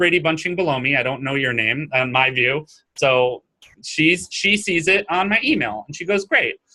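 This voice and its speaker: A bright, sharp tone with ordinary pitch variation. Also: man. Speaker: online marketing course instructor. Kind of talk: webinar interview presentation. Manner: fast.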